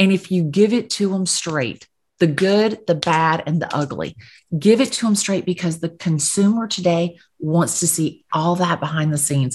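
Somewhat breathy, a woman speaks with a fairly low pitch and ordinary pitch variation. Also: moderate pace. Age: 50s. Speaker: real estate agent. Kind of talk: interview.

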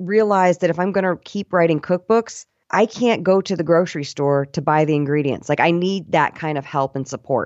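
A woman's fairly low-pitched, an ordinary speaking voice, with ordinary pitch variation and a fairly quick pace. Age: 40s. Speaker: voiceover artist and stand-up comic. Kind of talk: interview.

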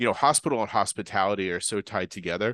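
A man's very fast, fairly low voice with a bright, sharp tone and an American accent, dry and close with no echo over a quiet background. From Boston. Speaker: chef. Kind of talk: casual interview.

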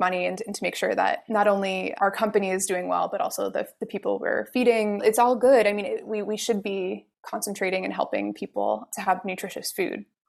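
With music in the background, a woman speaks with hardly any pauses. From northern New Jersey. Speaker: beekeeper and author. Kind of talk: interview.

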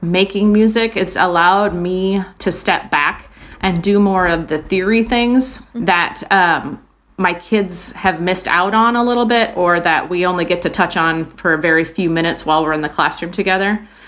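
A woman talks in a normal speaking voice at a medium pitch. Her pitch varies in an ordinary way, and her pace is moderate. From Iowa, US Midwest. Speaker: music teacher. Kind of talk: casual chat. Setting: video call.

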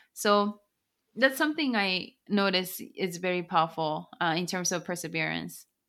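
A woman in a Japanese accent, medium pitch with ordinary pitch variation, bright, sharp tone, moderate pace, very clean recording with a silent background. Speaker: author and business consultant. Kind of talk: interview.

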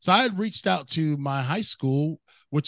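The background is quiet and the sound is dry and close, with no echo. The speaker keeps a moderate pace. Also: man. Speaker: motivational speaker. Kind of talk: casual interview chat.

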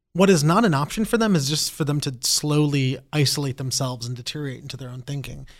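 A man's fairly high, somewhat breathy voice with an American accent, very fast with hardly any pauses, big swings in loudness and ordinary pitch variation, on a very clean recording with a silent background. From Brazil-born, raised in the US from age four. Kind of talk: interview conversation.

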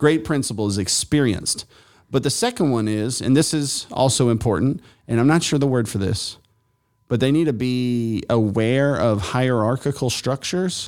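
A man speaks in an unremarkable speaking voice at medium pitch and a moderate pace. His pitch varies in an ordinary way on a very clean recording with a silent background. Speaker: pastor. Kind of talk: casual conversation.

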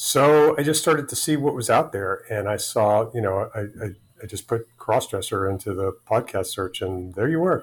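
A somewhat breathy voice with ordinary pitch variation, on a very clean recording with a silent background. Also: man. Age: 60s. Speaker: crossdresser telling personal story. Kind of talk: casual interview. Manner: halting, many repetitions.

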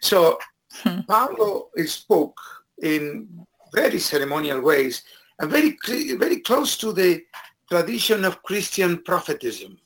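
With a Spanish accent, a man speaks fairly slowly in a high pitch, making very wide pitch swings and long, frequent pauses. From Argentina. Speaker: professor of education. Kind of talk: interview.

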